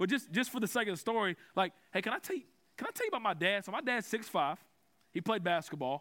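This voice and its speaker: A man speaks in a raised, projected voice at a very fast pace. His pitch is high and his tone is bright and sharp. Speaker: preacher. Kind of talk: sermon. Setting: conference with audience.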